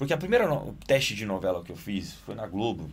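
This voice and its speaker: Very fast speech from a man with a fairly low pitch, plus audible room echo. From Italy, Naples. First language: Italian (speaking Portuguese). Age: 20s. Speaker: actor and director. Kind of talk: casual interview. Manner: animated.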